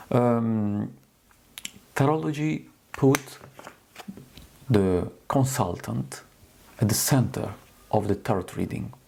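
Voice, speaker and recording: With an Italian accent and lively intonation, a man at a medium pitch talks at a very slow pace, leaving long, frequent pauses over noticeable background noise. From Italy. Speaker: tarot reader. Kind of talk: tutorial. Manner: halting.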